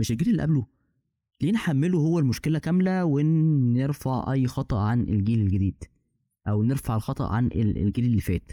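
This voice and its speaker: On a very clean recording with a silent background, a man talks at a medium pitch with a dark, mellow tone, lively intonation and very even loudness. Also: moderate pace. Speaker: podcast host. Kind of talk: casual chat.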